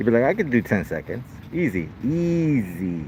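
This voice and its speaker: A man speaks loudly at a medium pitch with very wide pitch swings. There is noticeable background noise. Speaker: first amendment auditor filming police. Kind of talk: casual commentary to camera. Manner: casual slangy, halting with repetitions.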